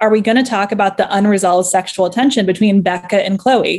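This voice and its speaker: A woman speaks at a very fast pace. Her medium pitch moves with ordinary variation. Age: 30s. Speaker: fan fiction writer. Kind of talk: casual interview.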